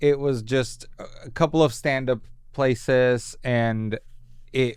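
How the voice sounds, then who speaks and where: With a Spanish accent, a man talks at a very slow pace in a fairly even intonation. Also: medium pitch for a man. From Colombia (Bogotá). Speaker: comedy writer. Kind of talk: casual interview chat. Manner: filler-heavy casual speech.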